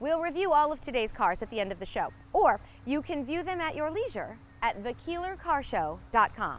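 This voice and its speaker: A woman talks at a high pitch and a moderate pace, with very wide pitch swings. The sound is dry, with no echo. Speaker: TV show host. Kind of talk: presenter intro. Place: street. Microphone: lapel.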